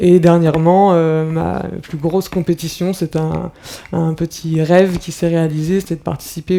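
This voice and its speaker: Against noticeable background noise, a woman with a fairly low pitch speaks at a fairly slow pace in a monotone, flat intonation. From France, Brittany (Rennes). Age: 30s. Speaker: professional athlete. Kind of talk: talk to school pupils. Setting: conference hall with audience. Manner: hesitant, many fillers.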